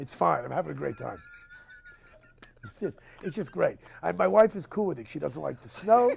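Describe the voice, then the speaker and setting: A man speaks at a very fast pace. Noticeable background noise runs beneath his voice. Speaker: stand-up comedian. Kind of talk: casual interview talk. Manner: rapid-fire, fast-talking.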